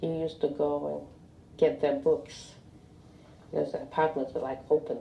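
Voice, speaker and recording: A woman talks at a moderate pace as noticeable background noise continues around her. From Lithuania. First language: Russian. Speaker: Holocaust survivor. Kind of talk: oral history interview. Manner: halting.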